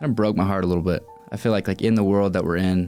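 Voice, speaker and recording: Music plays behind a man with an American accent. He talks at a very fast pace in a very deep, low pitch. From Utah. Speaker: social media content creator. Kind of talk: podcast interview answer. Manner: casual, conversational.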